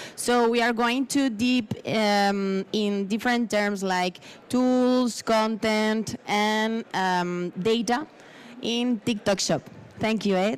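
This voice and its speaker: In a Spanish accent, a woman with a fairly high voice talks very slowly, her intonation fairly even and her loudness very even. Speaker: panel moderator. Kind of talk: conference panel interview.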